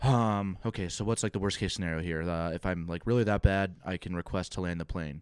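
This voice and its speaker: With hardly any pauses, the speech runs at a fairly quick pace and fairly even intonation. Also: man, very deep, low pitch for a man. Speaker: podcast host. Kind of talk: casual chat.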